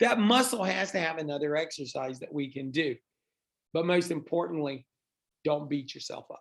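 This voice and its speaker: Speaking at a moderate pace, a man with an unremarkable speaking voice uses lively intonation at a fairly high pitch, with big swings in loudness. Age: 60s. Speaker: fitness trainer and podcast co-host. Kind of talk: casual chat.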